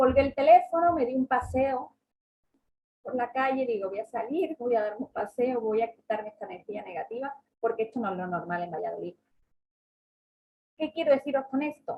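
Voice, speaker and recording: A woman's high, dark and mellow voice, with lively intonation, a fairly quick pace and long, frequent pauses. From southern Spain (Andalusia). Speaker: travel agent and workshop speaker. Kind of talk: online seminar talk. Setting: online seminar.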